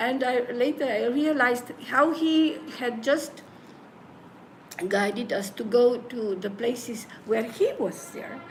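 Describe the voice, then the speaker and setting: Audible room echo follows a high-pitched woman who talks at a fairly slow pace with long, frequent pauses. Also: ordinary pitch variation. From Slovenia. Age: 70s. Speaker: spiritual teacher and bhajan group leader. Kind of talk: interview. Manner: halting.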